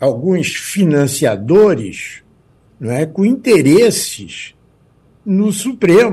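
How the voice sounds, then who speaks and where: A man speaks at a very slow pace with vocal fry. His pitch swings very widely. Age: 80s. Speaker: jurist and law professor. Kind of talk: radio interview.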